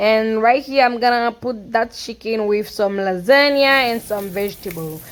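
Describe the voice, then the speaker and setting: A woman with a Haitian accent, a fairly high pitch, ordinary pitch variation and a moderate pace. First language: Haitian Creole. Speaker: cooking vlogger. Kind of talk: casual cooking tutorial voiceover. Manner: halting, with fillers.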